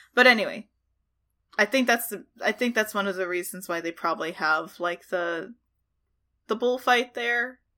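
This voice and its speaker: Her voice is fairly high with a bright, sharp tone, and this woman leaves long, frequent pauses. The recording is very clean with a silent background. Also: ordinary pitch variation, moderate pace. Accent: American. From Texas. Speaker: podcast guest. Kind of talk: casual chat. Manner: giggly.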